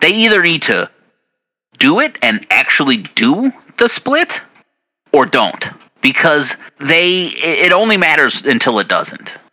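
A man with a high pitch swings very widely in pitch, speaking at a fairly slow pace with long, frequent pauses. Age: 30s. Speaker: wrestling podcast host. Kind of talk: casual chat.

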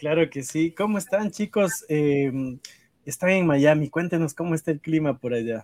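This man has an ordinary speaking voice, fairly high in pitch. His pitch varies in an ordinary way and his pace is moderate. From Ecuador. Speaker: podcast host. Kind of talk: casual interview.

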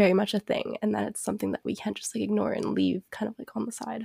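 A woman's voice with a dark, mellow tone comes through dry and close, with no echo. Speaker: guest co-host. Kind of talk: casual chat.

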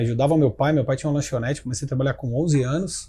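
Fairly high-pitched for a man, his voice has a dark, mellow tone and is somewhat breathy. The recording is very clean with a silent background. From Brazil, Ribeirão Preto (São Paulo state). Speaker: tech entrepreneur and CEO. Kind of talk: interview.

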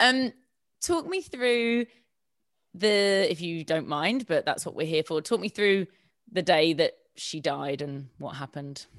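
At a fairly slow pace with long, frequent pauses, a woman with a southern English accent uses lively intonation and a fairly low pitch on a very clean recording with a silent background. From southern England. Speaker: podcast host. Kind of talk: casual interview.

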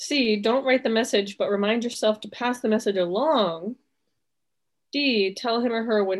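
At a fairly slow pace, a woman speaks in a plain, everyday voice, fairly high in pitch with ordinary pitch variation. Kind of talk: casual chat. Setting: video call.

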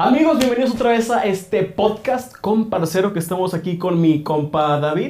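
There is noticeable background noise. Over it, a man speaks with lively intonation. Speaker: podcast host. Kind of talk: casual chat.

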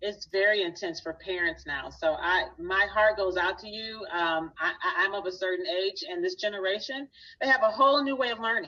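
With a plain, everyday voice, a woman speaks at a medium pitch and moderate pace, using lively intonation and hardly any pauses. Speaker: business owner and speaking coach. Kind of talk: interview.

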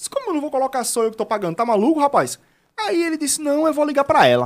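A man talks at a very fast pace. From Alagoas, Brazil (Penedo). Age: 20s. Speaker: young entrepreneur and blogger. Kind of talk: casual interview chat. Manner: animated storytelling.

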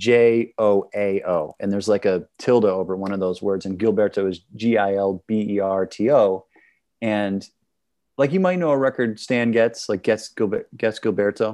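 A plain, everyday voice moves at a moderate pace with ordinary pitch variation against a quiet background. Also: man, fairly low pitch for a man. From Wisconsin, Milwaukee. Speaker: trumpeter and singer. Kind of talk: casual interview chat. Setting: home studio, video call.

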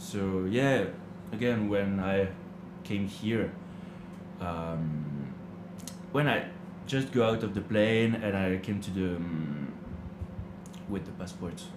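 A man with a French accent speaks at a very slow pace, leaving long, frequent pauses. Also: fairly low pitch for a man, ordinary pitch variation. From France. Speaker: hostel manager, language learner. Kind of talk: interview, casual chat. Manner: halting, searching for words.

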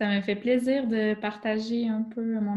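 A woman speaks at a fairly high pitch in a dark, mellow tone that is somewhat breathy. Her pace is very slow and her intonation fairly even. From Quebec. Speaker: teacher. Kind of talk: interview.

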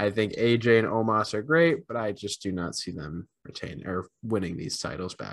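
An ordinary speaking voice moves at a fairly slow pace on a very clean recording with a silent background. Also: man. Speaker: wrestling podcast co-host. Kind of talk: casual chat.

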